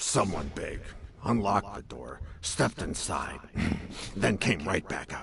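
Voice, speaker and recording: The speaker uses a put-on character voice at a moderate pace. Long pauses come often. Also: man, fairly low pitch for a man. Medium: video game. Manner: wry, chatty.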